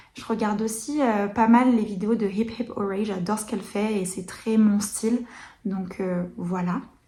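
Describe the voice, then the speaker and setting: Pacing herself fairly slowly, a woman speaks at a fairly high pitch with a dark, mellow tone. Her voice is somewhat breathy and her intonation is fairly even. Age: 20s. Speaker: knitting podcaster. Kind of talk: casual chat. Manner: hesitant, many fillers.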